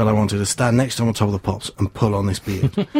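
Somewhat breathy, the man talks at a very fast pace with a medium pitch and ordinary pitch variation. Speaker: community radio volunteer. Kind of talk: casual chat.

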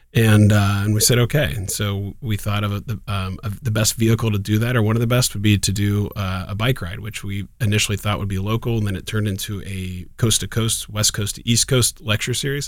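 In a Midwestern American accent, a man speaks at a fairly quick pace with fairly even intonation on a very clean recording with a silent background. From Columbus, Ohio. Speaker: ophthalmologist. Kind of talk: casual interview.

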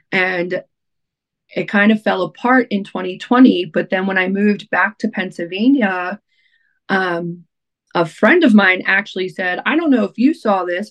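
A plain, everyday voice with an American accent, fairly slow, with ordinary pitch variation and a dry, close sound with no echo. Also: woman. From Baltimore area, Maryland (Essex). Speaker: radio DJ and nonprofit founder. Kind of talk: casual interview chat.

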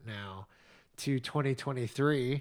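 An ordinary speaking voice from a man at a medium pitch with ordinary pitch variation, on a very clean recording with a silent background. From United States. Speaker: podcast co-host. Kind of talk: casual chat.

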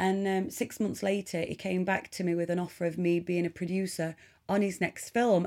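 In an East Midlands accent, the voice has a dark, mellow tone and monotone, flat intonation at a moderate pace. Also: woman, medium pitch for a woman. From Nottinghamshire, England. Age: 30s. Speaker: charity ambassador and film producer. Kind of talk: interview testimony.

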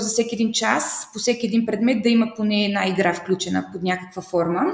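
A woman with a fairly high pitch speaks at a fairly quick pace over noticeable background noise. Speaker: primary and English teacher. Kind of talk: interview. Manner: animated.

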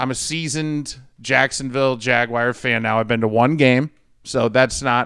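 A man speaks at a medium pitch with a US Midwestern accent. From St. Louis, Missouri. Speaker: sports betting podcast co-host. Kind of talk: casual chat.

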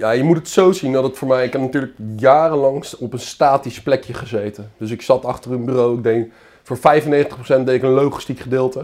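A man speaks at a fairly quick clip with a medium pitch. He has a plain, everyday voice. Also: fairly even intonation. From Netherlands, Zoetermeer (South Holland). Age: 30s. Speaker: carp angler. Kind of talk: casual chat.

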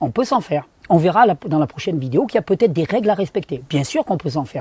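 A dark, mellow tone carries very wide pitch swings. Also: man. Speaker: naturopath / health video creator. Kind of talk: video tutorial. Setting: outdoors.

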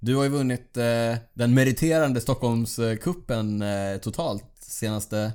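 On a very clean recording with a silent background, a man with a plain, everyday voice and medium pitch speaks at a fairly slow pace, showing ordinary pitch variation and hardly any pauses. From Sweden, Borås. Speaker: podcast host, amateur cyclist. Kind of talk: casual chat. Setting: studio.

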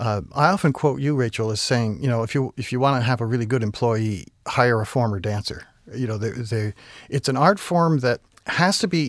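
In an ordinary speaking voice, a man with an American accent talks at a moderate pace with lively intonation, the recording very clean with a silent background and a dry, close sound with no echo. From Vermont, US. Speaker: ballet company artistic director. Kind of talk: interview.

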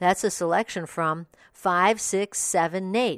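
A woman with an ordinary speaking voice talks at a fairly low pitch and a fairly slow pace. The recording is very clean with a silent background, and the sound is dry and close with no echo. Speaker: audiobook review podcast host. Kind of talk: scripted review read-out.

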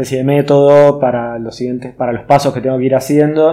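Monotone, flat intonation from a man with a medium pitch at a fairly quick pace. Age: 30s. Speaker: woodworker and artist. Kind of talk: casual interview.

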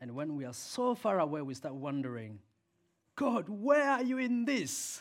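A man with an African accent speaks at a high pitch and a moderate pace, his voice making very wide pitch swings. The recording is very clean, with a silent background. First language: Swahili. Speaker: preacher. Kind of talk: sermon. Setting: church. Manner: animated, passionate.

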